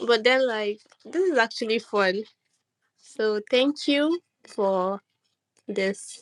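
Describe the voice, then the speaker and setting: A woman with a non-native accent speaks at a very slow pace and fairly high pitch, with lively intonation, long, frequent pauses and a dry, close sound with no echo. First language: not English. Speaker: artist. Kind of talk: casual chat. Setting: online audio room. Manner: halting.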